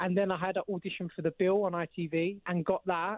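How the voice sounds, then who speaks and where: A man speaks with a London accent at a high pitch. His intonation stays fairly even. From East London. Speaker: actor. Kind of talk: casual chat.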